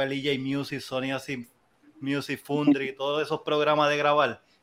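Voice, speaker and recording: The recording is very clean, with a silent background. A man with a fairly high pitch speaks at a fairly slow pace. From Puerto Rico, Las Piedras. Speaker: music producer and DJ. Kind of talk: casual chat.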